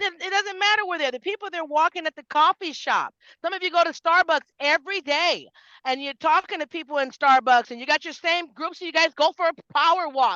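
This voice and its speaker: Raised and projected, a woman's animated voice moves at a fairly quick pace with a bright, sharp tone, lively intonation and big swings in loudness, in a dry, close sound with no echo. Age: 50s. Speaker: network marketing team leader. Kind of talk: motivational talk on video call. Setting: video call.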